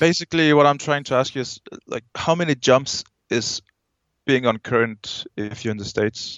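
A man with a Danish accent at a moderate pace. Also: fairly high pitch for a man, ordinary pitch variation. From Denmark. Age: 20s. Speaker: skydiver. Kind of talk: casual chat.

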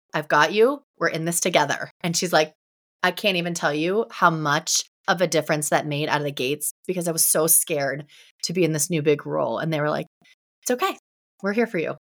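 Talking at a fairly quick pace, a woman with an unremarkable speaking voice sits at a fairly low pitch with ordinary pitch variation. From Ohio, US Midwest. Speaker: entrepreneur and business coach. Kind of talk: podcast interview.

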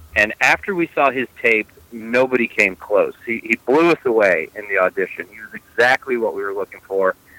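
A man with an American accent at a moderate pace, hardly any pauses and big swings in loudness. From New York / New Jersey area, US. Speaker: film director. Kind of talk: interview. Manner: hesitant, with many fillers.

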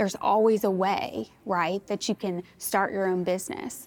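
A woman with a normal speaking voice, medium pitch and an American accent at a moderate pace, on a very clean recording with a silent background. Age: 30s. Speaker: church staff member. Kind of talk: faith testimony interview. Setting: church.

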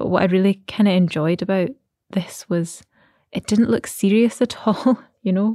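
In a very clean recording with a silent background, a woman speaks at a moderate pace and medium pitch, her tone dark and mellow, the sound dry and close with no echo. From Aberdeen, Scotland. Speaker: poet. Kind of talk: poetry reading, performed aloud with a measured, lyrical delivery. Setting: recorded alone in her flat. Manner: measured, lyrical, gentle.

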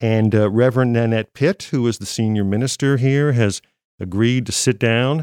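A man speaks in a normal speaking voice at a medium pitch and moderate pace, with ordinary pitch variation and very even loudness against a quiet background. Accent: American. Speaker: podcast host, former radio broadcaster. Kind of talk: interview.

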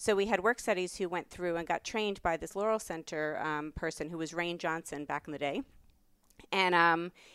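A woman with a New York accent speaks at a fairly quick pace, her pitch fairly low with ordinary variation. The sound is dry and close with no echo, on a very clean recording with a silent background. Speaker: professor. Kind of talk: casual chat.

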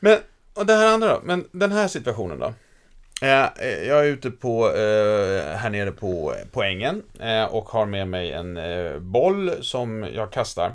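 A very clean recording with a silent background captures a man talking at a very slow pace. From Stockholm, Västerort. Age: 50s. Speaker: podcast host, lecturer. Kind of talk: casual chat.

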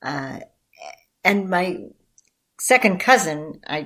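On a very clean recording with a silent background, a woman speaks in an American accent with ordinary pitch variation. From US Midwest, southwest side of Chicago. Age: 60s. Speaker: peace activist. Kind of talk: interview.

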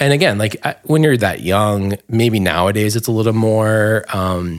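A man with an American accent talks at a moderate pace in an unremarkable speaking voice with ordinary pitch variation, in a very clean recording over a silent background. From New Jersey, Bergen County. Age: 30s. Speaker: LGBTQ marketing professional. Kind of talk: casual chat.

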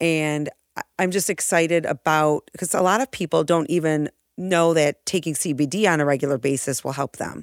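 A woman speaks in an energetic, animated tone with a very deep, low pitch and ordinary pitch variation. The sound is dry and close with no echo, on a very clean recording with a silent background. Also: moderate pace. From western New York. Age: 50s. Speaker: former teacher, cannabis industry advocate. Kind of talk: casual interview chat. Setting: studio.

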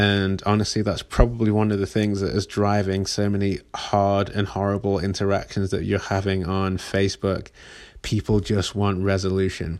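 This man's voice sits fairly low. He speaks with flat, monotone intonation. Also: moderate pace, very clean recording, silent background. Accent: English. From England. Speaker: podcast host. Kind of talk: casual monologue.

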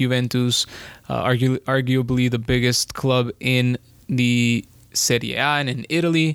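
On a very clean recording with a silent background, a man's medium-pitched voice sounds dry and close, with no echo. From Colombia. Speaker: football podcast host. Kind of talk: casual sports chat.

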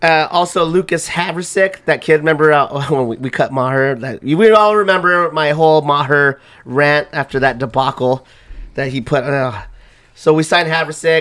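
Loud, strained speech at a moderate pace with ordinary pitch variation. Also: man, fairly high pitch for a man. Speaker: sports podcast host. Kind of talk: casual sports chat.

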